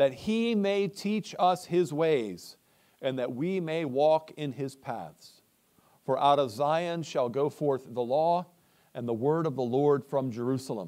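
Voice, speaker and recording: A man speaks at a fairly slow pace in a dark, mellow tone. The background is quiet. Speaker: preacher. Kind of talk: scripture reading and prayer. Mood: solemn, measured. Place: church.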